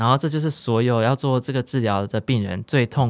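A man speaks fairly quickly at a medium pitch, with ordinary pitch variation and an ordinary speaking voice. The recording is very clean, with a silent background. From central Taiwan. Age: 20s. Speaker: cancer patient. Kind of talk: interview.

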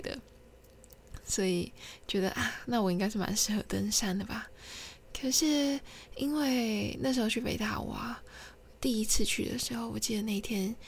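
A woman with a somewhat breathy voice and fairly high pitch speaks at a moderate pace with ordinary pitch variation, leaving long, frequent pauses amid audible room echo. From Taiwan, Kinmen. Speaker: podcaster. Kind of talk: solo storytelling monologue. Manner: halting, many fillers.

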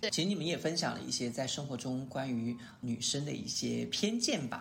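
A man with a fairly high pitch talks at a moderate pace with lively intonation, and audible room echo surrounds him. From Sichuan, China. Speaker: podcast host. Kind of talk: casual chat.

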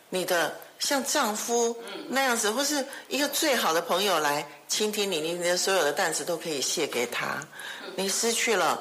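A woman speaks with very wide swings in pitch. Noticeable background noise and audible room echo surround her voice. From Taiwan. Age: 60s. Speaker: foundation executive director. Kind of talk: interview. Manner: halting.

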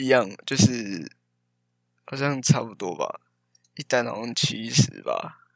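A man speaks at a very slow pace with a medium pitch, ordinary pitch variation and vocal fry. His loudness swings widely, and long pauses come often. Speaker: podcast co-host, engineering student. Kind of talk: casual chat.

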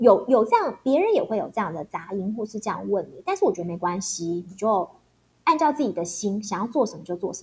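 Talking at a very fast pace, a woman with a medium-pitched, somewhat breathy voice uses lively intonation. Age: 40s. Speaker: former TV news anchor. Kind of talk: casual interview chat.

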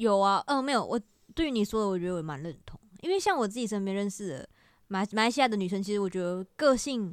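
At a very fast pace, a woman speaks at medium pitch with lively intonation in a very clean recording with a silent background. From Malaysia. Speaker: video creator. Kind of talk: casual chat.

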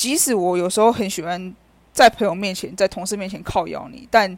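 In an ordinary speaking voice at medium pitch, a woman talks at a moderate pace on a very clean recording with a silent background. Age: 30s. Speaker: podcaster. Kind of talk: personal monologue. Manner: casual.

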